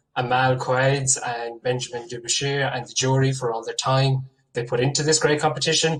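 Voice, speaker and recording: Speaking in an Irish accent, a man at medium pitch keeps a moderate pace and a monotone, flat intonation. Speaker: PhD researcher, award winner. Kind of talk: acceptance speech.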